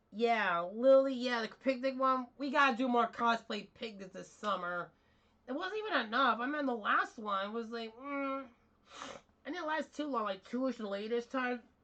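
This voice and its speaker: High-pitched, a woman speaks at a moderate pace with ordinary pitch variation over noticeable background noise. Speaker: streamer and cosplayer. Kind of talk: casual chat. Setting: live stream. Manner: rambling, informal.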